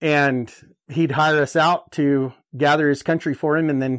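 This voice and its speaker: A man's normal speaking voice in an American accent, fairly even in intonation and moderate in pace, on a very clean recording with a silent background. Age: 30s. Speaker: rancher. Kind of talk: interview.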